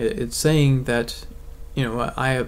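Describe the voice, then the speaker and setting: Speaking at a fairly slow pace, a man uses a fairly high pitch and fairly even intonation. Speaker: atheist video blogger. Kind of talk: video essay monologue. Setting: bedroom. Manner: monotone.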